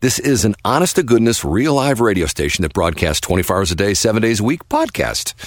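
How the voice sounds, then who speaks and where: A man speaks with a fairly low pitch and vocal fry. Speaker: radio and podcast host. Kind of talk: interview. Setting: studio.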